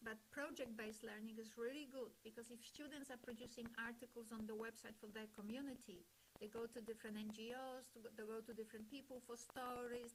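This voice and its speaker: In a non-native accent, a woman talks at a fairly quick pace and fairly high pitch with fairly even intonation, and the room echo is audible. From Poland. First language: not English. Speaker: webinar speaker on language education. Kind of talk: lecture.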